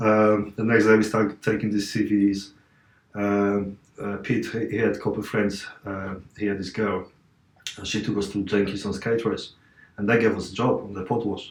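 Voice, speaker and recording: A man with a Polish accent speaks at a moderate pace and a fairly low pitch. His intonation is monotone and flat, with vocal fry. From Poland, Katowice. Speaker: martial artist and athlete. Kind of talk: podcast interview. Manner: halting.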